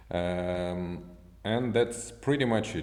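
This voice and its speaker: A man with a very deep, low pitch talks very slowly, his pitch swinging very widely, amid audible room echo. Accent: non-native. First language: not English. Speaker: software developer. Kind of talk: tutorial. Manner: halting.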